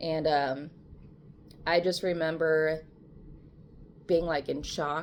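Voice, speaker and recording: A woman talks with a very deep, low pitch and monotone, flat intonation. Her pace is very slow, broken by long, frequent pauses. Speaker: video blogger and painter. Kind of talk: casual personal story to camera. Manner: halting.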